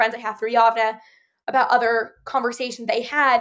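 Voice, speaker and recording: With a New Jersey accent, a woman talks at a fairly quick pace in a high voice, her intonation fairly even. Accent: American (New Jersey). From New Jersey (Ridgewood). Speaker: university student. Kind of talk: casual interview chat.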